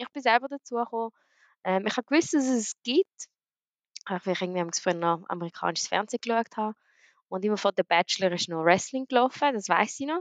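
An ordinary speaking voice with lively intonation at a fairly quick pace, in a dry, close sound with no echo. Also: woman, fairly high pitch for a woman. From grew up around the world as a diplomat's daughter. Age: young. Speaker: professional wrestler. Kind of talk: casual interview. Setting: online call.

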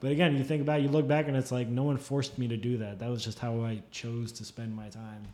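Someone with an American accent talks very fast with hardly any pauses. The intonation stays fairly even. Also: man, medium pitch for a man. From northern New Jersey, Fort Lee. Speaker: illustrator. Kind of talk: casual chat.

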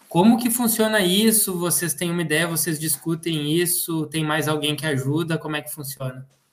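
This is a plain, everyday voice at a moderate pace with hardly any pauses. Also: man, fairly high pitch for a man, ordinary pitch variation. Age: 40s. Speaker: agriculture podcast co-host. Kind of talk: podcast interview.

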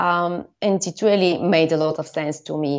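A woman with a Bulgarian accent speaks at a fairly slow pace in a fairly low pitch, with ordinary pitch variation. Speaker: storyteller and former filmmaker. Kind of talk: interview. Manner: hesitant, many fillers.

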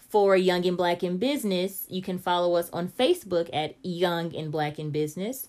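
A woman's fairly low voice moves at a moderate pace with ordinary pitch variation. She takes hardly any pauses. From Kansas City, Missouri. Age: 20s. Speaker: podcast host and author. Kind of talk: casual interview. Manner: relaxed, with many ums.

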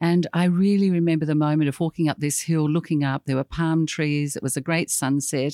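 Speaking with an Australian accent, a woman with a very deep, low pitch and a dark, mellow tone talks at a fairly quick pace with fairly even intonation and hardly any pauses, on a very clean recording with a silent background and a dry, close sound with no echo. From Tasmania, north west coast. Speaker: former state governor-level official. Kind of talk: interview conversation.

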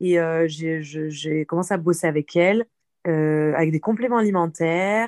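A woman's fairly low voice at a fairly slow pace, with ordinary pitch variation and very even loudness, dry and close with no echo on a very clean recording with a silent background. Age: 30s. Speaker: personal coach for women. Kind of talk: casual chat. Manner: animated.

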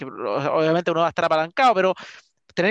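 The background is quiet as a man talks. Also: dry, close sound with no echo. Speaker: real estate podcast host. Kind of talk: interview. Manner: energetic.

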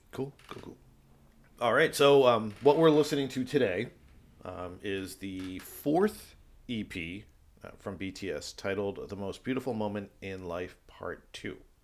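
A man with a plain, everyday voice speaks at a fairly slow pace in a fairly low pitch, his intonation lively and his loudness swinging widely. The recording is very clean, with a silent background. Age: 40s. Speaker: podcast host. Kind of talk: casual chat. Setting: studio.

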